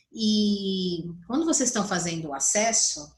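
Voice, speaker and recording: This woman's voice is somewhat breathy, with ordinary movement in pitch. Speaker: psychologist teaching colleagues. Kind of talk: online tutorial.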